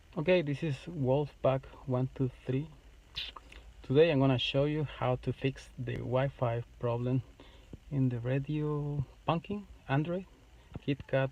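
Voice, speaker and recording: A man with a non-native accent speaks at a fairly slow pace and medium pitch. His intonation is fairly even, and he leaves long, frequent pauses. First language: not English. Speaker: YouTuber making a how-to video. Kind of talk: tutorial. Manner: halting.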